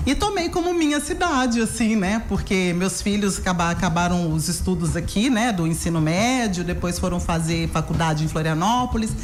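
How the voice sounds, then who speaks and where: A woman with a Minas Gerais accent talks at a very even loudness with hardly any pauses, with audible room echo and noticeable background noise. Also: moderate pace. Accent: Minas Gerais Brazilian Portuguese. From Minas Gerais, Brazil (Belo Horizonte). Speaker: therapist and educator. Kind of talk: radio interview.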